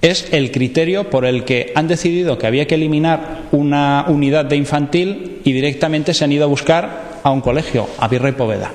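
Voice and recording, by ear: The voice has a slightly mellow tone and ordinary pitch variation. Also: man.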